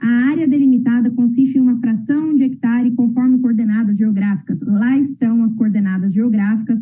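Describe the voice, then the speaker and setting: Noticeable background noise accompanies speech with fairly even intonation. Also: woman. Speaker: lawyer. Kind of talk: oral argument at administrative hearing. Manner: formal.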